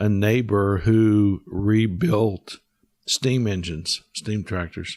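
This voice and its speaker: This man's voice sits fairly low in pitch. He talks with a Midwestern US accent. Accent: US Midwest. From Kansas. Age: 60s. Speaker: guest. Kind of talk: interview.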